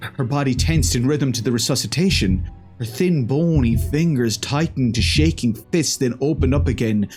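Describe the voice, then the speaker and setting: Against music in the background, a man talks at a moderate pace with lively intonation. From Ireland. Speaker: horror story narrator. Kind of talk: horror story reading.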